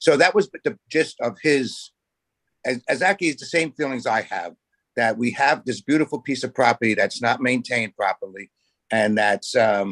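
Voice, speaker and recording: Here a man speaks with a New York accent and lively intonation. The sound is dry and close, with no echo. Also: medium pitch for a man, moderate pace. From Staten Island, New York. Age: 70s. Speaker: community board committee member. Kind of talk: public meeting discussion.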